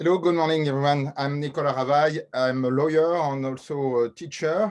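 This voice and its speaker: A man with a French accent keeps his intonation fairly even. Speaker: lawyer and teacher. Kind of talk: webinar panel discussion. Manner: halting.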